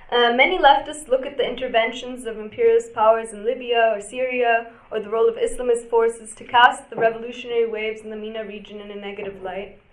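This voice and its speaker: A woman at a fairly high pitch and a very fast pace, with fairly even intonation and big swings in loudness, over noticeable background noise. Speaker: panel moderator. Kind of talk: moderating a panel. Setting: stage with audience. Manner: trying to speak louder.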